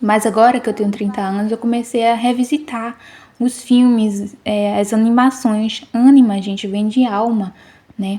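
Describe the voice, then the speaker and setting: Delivered at a fairly slow pace, the speech stays monotone and flat in intonation. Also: woman, fairly high pitch for a woman. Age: 30s. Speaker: vlogger. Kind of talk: casual video narration. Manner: casual, many fillers.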